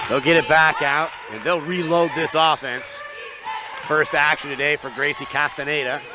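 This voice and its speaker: Amid noticeable background noise, a man talks at a moderate pace and fairly high pitch with fairly even intonation. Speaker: basketball play-by-play commentator. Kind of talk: live commentary. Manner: loud talker; quieter than usual now.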